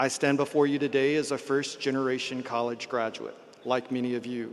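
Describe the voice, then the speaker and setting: A man with a slight Tennessee accent, medium pitch, moderate pace and monotone, flat intonation. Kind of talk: formal graduation address.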